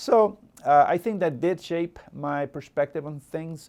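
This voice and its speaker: This voice belongs to a man. The audio is very clean, and nothing can be heard behind him. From El Salvador. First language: Spanish. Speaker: local politician. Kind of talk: interview. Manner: halting, many fillers and repetitions.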